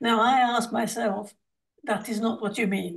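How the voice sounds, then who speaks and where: A woman's somewhat breathy voice at a moderate pace. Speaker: discussion participant with medical background. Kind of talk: group discussion. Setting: video call. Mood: puzzled, questioning. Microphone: video call.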